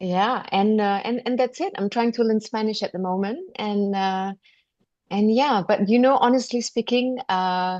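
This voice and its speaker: With a Malaysian accent, a woman speaks at a fairly slow pace, her fairly high voice showing ordinary pitch variation. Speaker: podcast guest, cooking teacher. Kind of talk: interview conversation. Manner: halting, many fillers.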